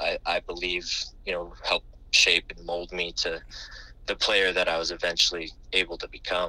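Speech at a moderate pace, broken by long, frequent pauses, swings widely in loudness. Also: man. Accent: American. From US West Coast, San Diego California. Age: 30s. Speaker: basketball assistant coach. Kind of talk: interview. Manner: halting, many fillers and repeated words.

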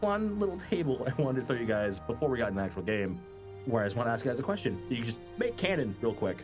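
A man's very fast speech with very wide pitch swings over music in the background. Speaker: game facilitator, podcast host.

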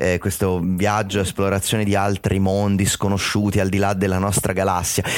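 A man's fairly low voice in a monotone, flat intonation at a moderate pace with hardly any pauses. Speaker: film fan and critic guest. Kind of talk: casual chat.

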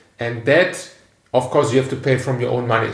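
A man of medium pitch with a German accent, at a fairly quick pace and with fairly even intonation. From Germany, Cologne. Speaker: podcast host. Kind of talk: casual interview. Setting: guest's apartment.

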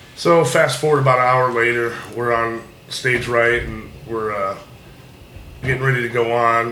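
Amid noticeable background noise and audible room echo, a man at a medium pitch speaks at a moderate pace with fairly even intonation. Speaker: guitarist and guitar teacher. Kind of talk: casual chat.

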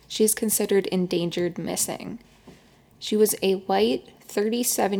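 In a normal speaking voice, a woman talks at a fairly slow pace. Her medium pitch holds fairly even intonation. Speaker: podcast host. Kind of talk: scripted narration.

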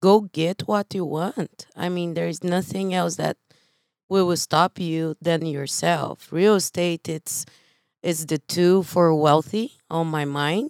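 In a very clean recording with a silent background and a dry, close sound free of echo, a woman with a Brazilian accent speaks at a very slow pace in a fairly low voice with fairly even intonation. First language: Portuguese. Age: 40s. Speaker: real estate investor and coach. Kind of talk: casual interview.

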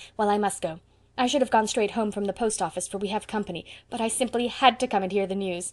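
The text is read in an unforced voice.

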